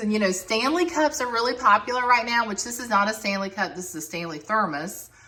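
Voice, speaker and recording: Lively intonation with an American accent, over noticeable background noise. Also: woman. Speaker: home decor vlogger. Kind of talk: casual home tour narration.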